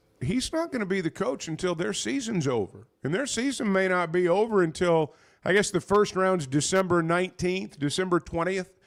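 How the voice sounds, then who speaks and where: A man with an Arkansas accent, high-pitched and lively in intonation, at a moderate pace with hardly any pauses. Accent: US Southern (Arkansas). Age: 60s. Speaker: sports radio host. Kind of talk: casual sports talk.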